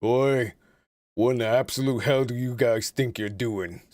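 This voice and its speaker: A man puts on a character voice at a medium pitch with fairly even intonation, in a very clean recording with a silent background. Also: moderate pace. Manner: gruff, confrontational.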